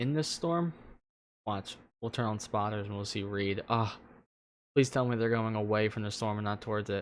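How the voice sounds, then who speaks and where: With an American accent, a man talks at a moderate pace in a fairly low pitch, leaving long, frequent pauses. His pitch varies in an ordinary way on a very clean recording with a silent background. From New Jersey. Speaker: weather livestreamer. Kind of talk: live weather commentary. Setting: livestream. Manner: animated.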